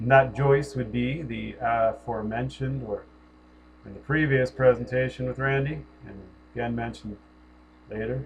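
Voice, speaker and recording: Medium-pitched male voice with an American accent, somewhat breathy, fairly even intonation, long frequent pauses and big swings in loudness. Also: moderate pace. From US Northeast, Connecticut. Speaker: spiritual commentator. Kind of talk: personal monologue.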